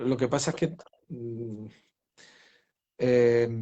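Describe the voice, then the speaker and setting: A man speaks at a medium pitch. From Spain, Granada (Andalusia). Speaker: novelist. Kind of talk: interview. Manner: halting, many repetitions.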